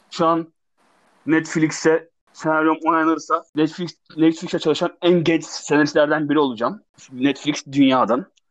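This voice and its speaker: A man talks with fairly even intonation. His pitch is fairly high. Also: moderate pace, quiet background. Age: 20s. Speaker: screenwriter and digital artist. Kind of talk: interview. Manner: halting.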